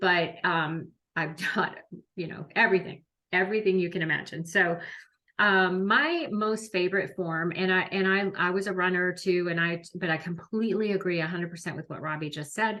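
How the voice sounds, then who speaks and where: A woman talks in a plain, everyday voice at medium pitch, keeping a moderate pace and fairly even intonation. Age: 60s. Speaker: fitness instructor. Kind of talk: wellness livestream chat.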